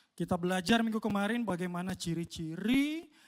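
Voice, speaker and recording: His voice sits high in pitch for a man. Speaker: pastor. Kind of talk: sermon. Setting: church.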